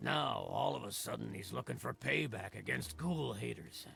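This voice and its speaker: A man's raspy, put-on character voice with very wide pitch swings at a moderate pace. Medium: video game.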